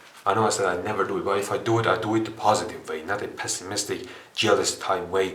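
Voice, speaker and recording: A man speaks with a non-native accent. Noticeable background noise and audible room echo are in the recording. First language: not English. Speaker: self-improvement video creator. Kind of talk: casual monologue. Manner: hesitant, with many fillers.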